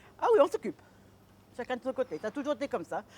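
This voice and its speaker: With lively intonation and a high pitch, a woman speaks at a fairly quick pace in a dry, close recording with no echo. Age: 70s. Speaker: market gardener. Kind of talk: interview answer. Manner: lively, outspoken.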